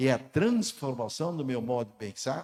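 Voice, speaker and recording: The man's tone is dark and mellow, with lively intonation. He speaks at a moderate pace. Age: 70s. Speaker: pastor. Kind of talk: sermon. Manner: halting.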